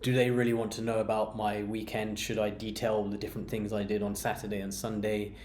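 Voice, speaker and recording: In a room with audible echo, a man talks at a fairly low pitch and a fairly quick pace. His intonation is monotone and flat. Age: 30s. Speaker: beer vlogger. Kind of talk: personal monologue. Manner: halting, many fillers and repeats.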